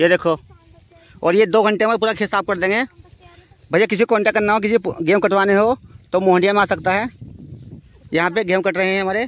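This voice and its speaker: At a fairly quick pace, a man with a high pitch talks in a fairly even intonation, the sound dry with no echo. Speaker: village vlogger. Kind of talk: casual vlog chat. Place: farm. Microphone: phone near.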